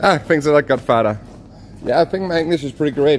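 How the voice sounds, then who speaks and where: A man with a Danish accent talks at a very fast clip. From Denmark. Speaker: walking travel streamer. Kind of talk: live stream chat. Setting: outdoors, walking.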